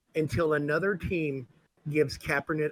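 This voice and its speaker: In an American accent, a man with an unremarkable speaking voice and a fairly high pitch talks at a moderate pace, the sound dry and close with no echo. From US South, New Orleans. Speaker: sports podcast co-host. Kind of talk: casual chat.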